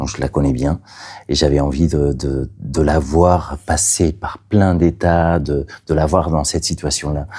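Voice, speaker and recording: A man with a very deep, low pitch speaks with vocal fry and fairly even intonation. His pace is fairly slow. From Catalonia, Spain. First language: Catalan (speaking French). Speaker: playwright. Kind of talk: interview. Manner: halting, many hesitations.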